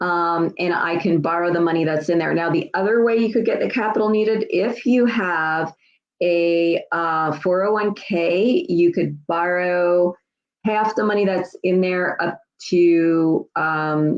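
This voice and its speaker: A woman with a fairly low voice speaks at a very slow pace, her loudness very even and her pitch variation ordinary. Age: 60s. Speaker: tax lien investing educator. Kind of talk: live Q&A stream. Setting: livestream. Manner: casual, many fillers.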